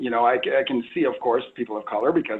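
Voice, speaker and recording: Here a man speaks with a Southern California accent. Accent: General American, Southern California. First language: Spanish. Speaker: police chief. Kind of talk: panel discussion. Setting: video call.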